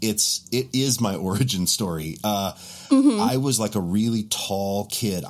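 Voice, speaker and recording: In an American accent, a man talks at a fairly low pitch with ordinary pitch variation. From Montana, US. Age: 40s. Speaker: bass player and content creator. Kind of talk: casual chat. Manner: animated. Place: home room.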